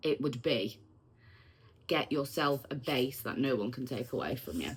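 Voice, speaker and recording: This woman has a very deep, low pitch and a somewhat breathy voice, with a Manchester accent. Her pitch varies in an ordinary way. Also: moderate pace. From Manchester, northern England. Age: 40s. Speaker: vlogger. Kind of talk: personal testimony. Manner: casual, with frequent um fillers.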